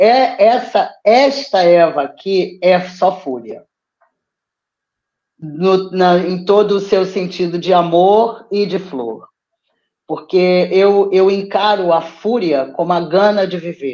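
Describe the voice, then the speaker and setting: The speaker has a Brazilian accent and a very slow pace. The pitch rises and falls in an ordinary way. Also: woman, medium pitch for a woman. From Brazil (Petrópolis). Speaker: poet and theatre teacher. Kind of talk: interview. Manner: animated.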